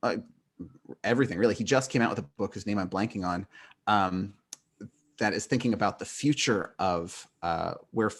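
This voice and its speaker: An American-accented man talks at a fairly low pitch, with ordinary pitch variation and long, frequent pauses. The recording is very clean, with a silent background. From northern California. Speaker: philosophy professor. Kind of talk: podcast interview. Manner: fast; many fillers, um and uh.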